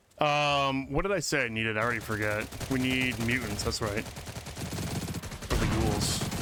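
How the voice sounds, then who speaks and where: A man talks at a fairly slow pace in a medium pitch, with ordinary pitch variation, very even loudness and hardly any pauses. Room echo is audible, and there is noticeable background noise. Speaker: video game streamer. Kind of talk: casual live-stream chat. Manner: animated.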